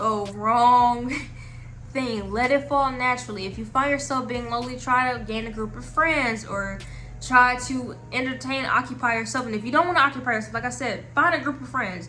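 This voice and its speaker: Amid noticeable background noise and audible room echo, a woman speaks with big swings in loudness. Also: moderate pace. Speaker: advice vlogger. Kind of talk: casual advice monologue. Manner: halting.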